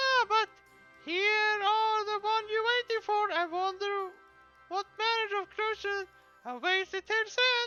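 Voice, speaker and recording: A put-on character voice, squeaky and extremely high-pitched, moves at a fairly slow pace with long, frequent pauses. Faint music plays in the background. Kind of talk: archaic fantasy speech. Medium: game stream. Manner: playful and grandiose.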